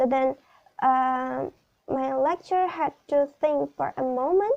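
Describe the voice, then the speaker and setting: Speaking at a very slow pace, a woman with an Indonesian accent has a high pitch and a dark, mellow tone. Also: dry, close sound with no echo. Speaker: student teacher. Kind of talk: class presentation video. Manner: halting, many fillers.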